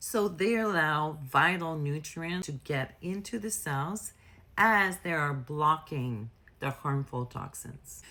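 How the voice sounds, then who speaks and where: A woman with a French accent and a bright, sharp tone, very slow, with very wide pitch swings, in a very clean recording with a silent background. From France. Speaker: nurse health educator. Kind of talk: educational explainer. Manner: casual, conversational.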